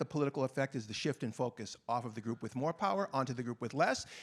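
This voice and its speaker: Very fast speech with a Boston accent on a very clean recording over a silent background. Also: man. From Boston, US. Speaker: panelist, gender violence activist. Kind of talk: panel discussion. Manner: passionate.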